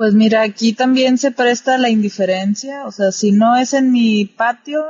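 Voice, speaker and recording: In a fairly high, somewhat breathy voice, a woman talks at a fairly slow pace. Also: very even loudness. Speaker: podcaster. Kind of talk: casual chat.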